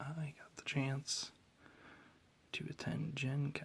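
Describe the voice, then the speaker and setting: Someone speaks softly at a very slow pace. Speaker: Magic card collector. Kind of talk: ASMR card collection show and tell. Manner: soft-spoken.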